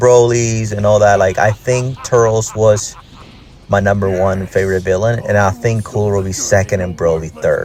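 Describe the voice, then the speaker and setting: A man with a Puerto Rican accent speaks at a medium pitch and a moderate pace. Noticeable background noise sits behind him. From Puerto Rico. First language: Spanish. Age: 30s. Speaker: gaming YouTuber. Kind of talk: gameplay commentary. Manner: casual, hesitant with fillers.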